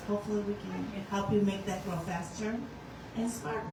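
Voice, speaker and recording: Noticeable background noise and audible room echo surround the speaker. She is a woman with a medium pitch and ordinary pitch variation. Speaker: business development advisor. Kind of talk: public panel discussion.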